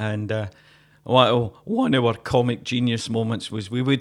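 In a Glaswegian accent, a man of medium pitch speaks at a moderate pace with monotone, flat intonation, in a very clean recording with a silent background. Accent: Glaswegian Scottish. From Glasgow. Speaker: folk musician and podcast co-host. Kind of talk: casual chat. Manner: jokey, laughs often.

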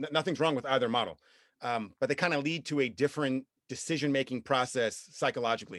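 A man with a normal speaking voice talks at a fairly quick pace in a medium pitch, with ordinary pitch variation over a quiet background. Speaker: songwriter and composer. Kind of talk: casual podcast interview. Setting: remote call, guest in New York State.

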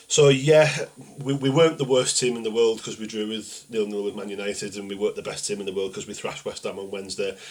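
Over noticeable background noise, a man talks very fast with ordinary pitch variation. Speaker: football podcast panelist. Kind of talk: casual chat.

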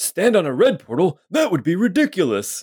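A man puts on a character voice pitched high, with very wide pitch swings, recorded with a dry, close sound and no echo. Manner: dry, incredulous.

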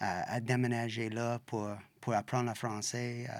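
A man with an English accent speaks at a medium pitch in monotone, flat intonation, in a very clean recording with a silent background. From western Canada (Saskatchewan). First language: English (speaking French). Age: 50s. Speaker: bike shop owner. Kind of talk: interview. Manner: halting, searching for words.

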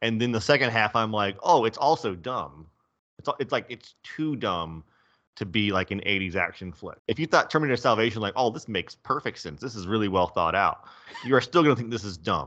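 A man's bright, sharp tone with lively intonation over a quiet background. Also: medium pitch for a man, fairly quick pace. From US South. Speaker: movie podcast co-host. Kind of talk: casual chat. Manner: animated.

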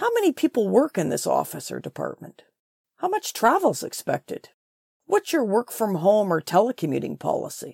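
A woman speaks at a moderate pace, her sound dry and close with no echo. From Ontario, Canada. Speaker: career transition coach. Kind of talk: solo podcast talk. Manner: animated.

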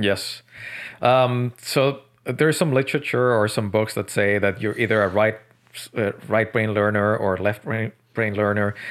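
This man speaks with a Spanish accent. His pitch is fairly low. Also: moderate pace. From Colombia, Medellin. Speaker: author. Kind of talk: podcast interview.

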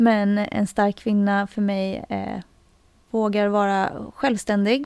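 A woman's fairly high voice at a very slow pace. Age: 40s. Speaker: retail worker and CrossFit athlete. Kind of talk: casual chat.

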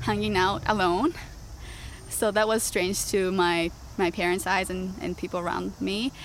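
With a Japanese accent, a woman speaks at a medium pitch. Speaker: social justice advocate. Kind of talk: interview.

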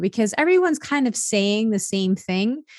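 This woman has a normal speaking voice at medium pitch. She goes at a moderate pace. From Italian-American family. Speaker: happiness coach and author. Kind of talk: interview testimony.

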